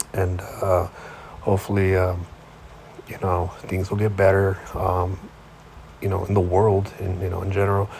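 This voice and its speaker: Against noticeable background noise, a man speaks very slowly in a very deep, low pitch with monotone, flat intonation. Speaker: sports podcast host. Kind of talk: casual solo monologue. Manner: halting, many fillers.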